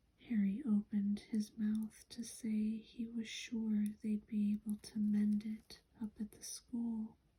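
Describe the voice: A plain read-aloud delivery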